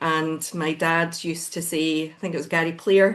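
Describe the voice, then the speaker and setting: A woman with a Glaswegian accent talks at a fairly slow pace in a fairly low voice. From Scotland, Glasgow. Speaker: business founder. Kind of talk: podcast interview. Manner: hesitant fillers.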